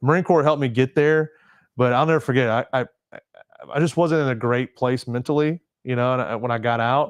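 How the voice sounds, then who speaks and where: A man with an American accent, dry and close with no echo, against a quiet background. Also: medium pitch for a man, fairly quick pace. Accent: Southern accent, toned down. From US South, Mississippi Gulf Coast. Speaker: Marine veteran and charity founder. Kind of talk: casual interview chat. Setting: studio, livestream podcast.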